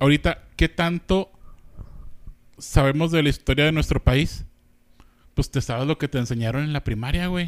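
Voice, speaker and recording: A man with a Mexican accent and a fairly high pitch talks at a moderate pace with ordinary pitch variation and long, frequent pauses, in a dry, close sound with no echo. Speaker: podcast co-host. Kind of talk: casual chat.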